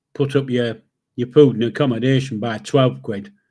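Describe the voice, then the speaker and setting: With a Yorkshire accent, a man talks at a medium pitch with fairly even intonation. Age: 70s. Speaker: livestream host. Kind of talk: casual chat. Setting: live stream. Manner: blunt, sweary.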